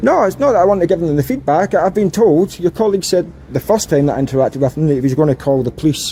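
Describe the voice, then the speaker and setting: A man with a Scottish accent, high-pitched, at a very fast pace with hardly any pauses, very even loudness, and noticeable background noise. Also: lively intonation. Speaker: auditor filming in public. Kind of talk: confrontational street conversation. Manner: calm, polite.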